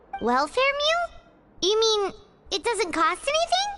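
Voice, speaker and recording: This put-on character voice is squeaky and extremely high-pitched. It goes along at a fairly slow pace. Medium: video game. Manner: chatty, refers to self in third person.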